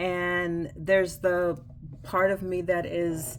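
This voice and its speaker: A woman's very slow speech is heard with audible room echo. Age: 60s. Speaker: writer and writing instructor. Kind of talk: casual vlog monologue. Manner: conversational, with fillers.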